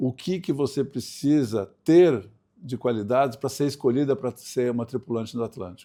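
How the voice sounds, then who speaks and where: Medium in pitch, a man's voice has a dark, mellow tone and ordinary pitch variation. He speaks at a moderate pace in a very clean recording with a silent background. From Brazil, Santos (São Paulo coast). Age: 60s. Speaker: sailor, speaker and writer. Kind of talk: podcast interview.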